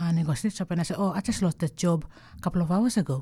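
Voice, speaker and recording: Over a silent background in a very clean recording, a woman talks very fast with a fairly low, dark, mellow voice that is somewhat breathy. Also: dry, close sound with no echo. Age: 60s. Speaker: art curator. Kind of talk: interview storytelling. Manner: halting.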